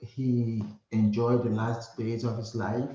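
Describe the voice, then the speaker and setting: The man speaks with a Nigerian accent at medium pitch. His pace is very slow. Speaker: hospice nurse. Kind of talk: interview.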